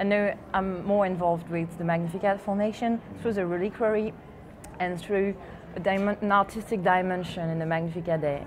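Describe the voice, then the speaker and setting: Speaking with a French accent, a woman keeps a medium pitch, a moderate pace and fairly even intonation. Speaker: artist. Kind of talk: TV interview. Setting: TV set at live event. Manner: halting.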